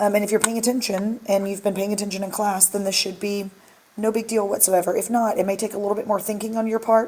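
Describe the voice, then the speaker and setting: Over noticeable background noise, a woman speaks at a medium pitch with a monotone, flat intonation. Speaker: schoolteacher. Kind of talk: review tutorial for students. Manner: casual, many filler ums.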